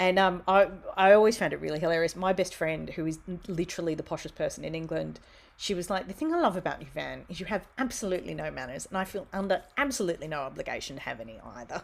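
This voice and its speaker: A woman with an Australian accent, fairly low pitched and very fast, her animated tone and lively intonation full of vocal fry and big swings in loudness. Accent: Australian, broad. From Australia, Wollongong. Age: 40s. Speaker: theatremaker and writer. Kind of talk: casual interview chat.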